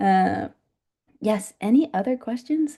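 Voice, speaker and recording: A woman's voice with vocal fry and lively intonation. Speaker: nonprofit educator and fundraiser. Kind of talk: panel Q&A talk. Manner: fast; casual, many fillers.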